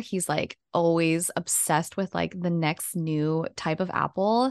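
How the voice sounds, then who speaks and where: Here a woman talks in a normal speaking voice at a fairly low pitch and a moderate pace. The sound is dry and close with no echo, over a quiet background. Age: 20s. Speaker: podcast co-host. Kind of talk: casual chat.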